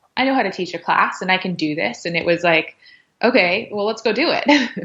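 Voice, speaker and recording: An unremarkable speaking voice from a woman with an American accent, medium in pitch, fairly quick, with lively intonation. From US West Coast, Los Angeles. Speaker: yoga and pilates instructor. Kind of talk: podcast interview, personal story. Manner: casual, filler-heavy speech.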